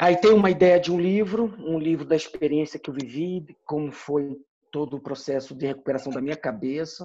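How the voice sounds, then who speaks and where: This man's voice has a dark, mellow tone and a fairly high pitch with ordinary pitch variation. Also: moderate pace. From Brasília, Brazil. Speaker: military officer. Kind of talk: casual chat.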